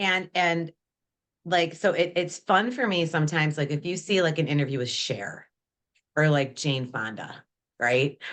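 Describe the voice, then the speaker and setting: At a moderate pace, a woman with fairly low pitch talks in an ordinary speaking voice with lively intonation against a quiet background. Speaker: podcast co-host. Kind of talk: casual chat.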